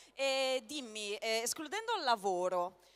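Fairly slow speech with noticeable background noise behind it. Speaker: convention panel moderator. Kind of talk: panel interview. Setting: stage with audience.

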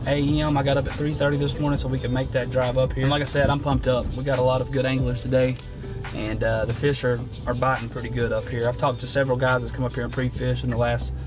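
A man talks at a very fast speed while clear music plays underneath. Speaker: fishing vlogger. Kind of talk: casual vlog chat. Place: car. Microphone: phone near.

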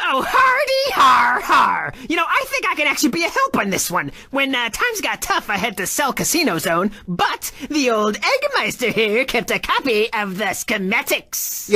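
A high-pitched voice at a moderate pace. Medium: machinima. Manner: blustering, self-important, excuse-making.

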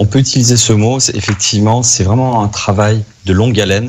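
At a moderate pace, a man is talking. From France, Lyon; France. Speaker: medical advisor for hair transplants; guest. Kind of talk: radio interview. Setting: remote call from Turkey. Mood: calm, explanatory. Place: home room. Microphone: video call.

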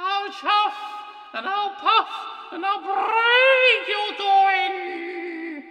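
A put-on character voice sounds shrill, with a bright, sharp tone. It moves at a very slow pace with ordinary pitch variation. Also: man, extremely high pitch for a man.

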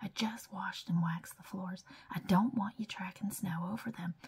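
Soft-spoken whispering at a moderate pace. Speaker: ASMR creator. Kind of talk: whispered ASMR magazine flip-through. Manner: whispered, soft-spoken.

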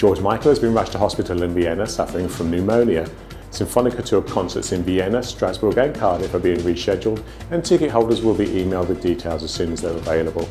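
A man's very deep, low voice at a very fast pace, with ordinary pitch variation and faint music in the background. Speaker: news presenter. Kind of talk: news bulletin presenter. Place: studio.

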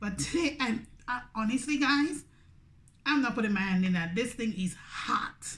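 Her high voice full of lively intonation, a woman speaks. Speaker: food vlogger. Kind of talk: casual vlog chat. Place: home room. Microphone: phone near.

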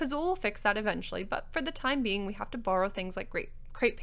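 The speaker reads in a natural reading voice.

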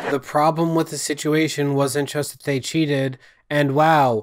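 Behind the man's voice, the background stays quiet. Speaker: commentary youtuber. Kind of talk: commentary. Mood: sarcastic, critical. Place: home room. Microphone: studio mic.

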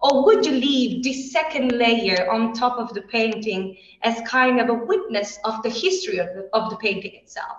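Speaking with hardly any pauses, a woman with an Italian accent has a fairly high voice and audible room echo. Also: lively intonation, moderate pace. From Italy. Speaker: heritage scientist, postdoctoral researcher. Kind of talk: educational presentation. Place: classroom. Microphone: video call.

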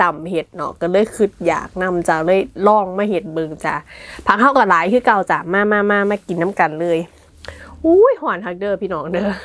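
Here a woman speaks with ordinary pitch variation. Her loudness swings widely. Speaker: food vlogger. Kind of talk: casual mukbang vlog chat. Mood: cheerful, friendly. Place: home room.

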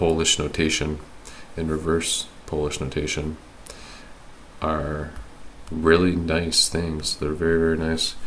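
A man's very deep, low voice, monotone and flat, at a fairly slow pace with long, frequent pauses over noticeable background noise. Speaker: hobbyist programmer. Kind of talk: casual screen-recorded programming tutorial.

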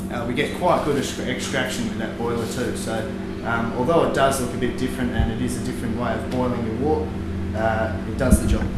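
A man talks at a fairly quick pace. Loud background noise and audible room echo fill the recording. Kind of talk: interview answer, equipment tour. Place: factory.

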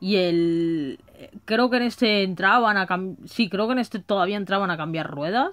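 A woman's medium-pitched voice at a moderate pace, with ordinary pitch variation and a quiet background. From Madrid, Spain; Spain. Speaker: gaming YouTuber. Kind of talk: casual video monologue. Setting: home recording on a phone. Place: home room. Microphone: phone near.

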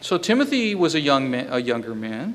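The pitch of this voice swings very widely. It belongs to a man. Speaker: pastor. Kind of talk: sermon. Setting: church. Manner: halting. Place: hall. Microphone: podium.

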